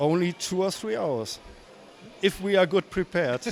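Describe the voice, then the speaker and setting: Speaking slowly with a non-native accent, a man uses a high pitch. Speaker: LEGO builder. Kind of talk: casual interview. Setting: convention floor. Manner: halting.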